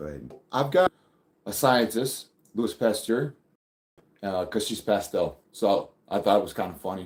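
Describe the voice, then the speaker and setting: A man speaks fairly slowly at medium pitch, leaving long, frequent pauses. His intonation is lively, with vocal fry. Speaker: reptile keeper livestreamer. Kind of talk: live stream chat. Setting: live stream. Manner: casual, halting with fillers.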